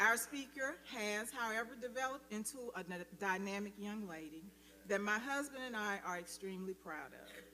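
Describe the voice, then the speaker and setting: With an American accent, a woman speaks at a fairly high pitch and a moderate pace, with ordinary pitch variation. Audible room echo surrounds her voice. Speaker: speaker's mother. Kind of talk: formal speaker introduction. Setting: church sanctuary.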